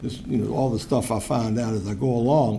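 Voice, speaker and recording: A man with an American accent, medium-pitched with ordinary pitch variation, at a moderate pace, with audible room echo. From Virginia, Richmond. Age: 60s. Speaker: public commenter, recovery advocate. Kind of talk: public comment at council meeting.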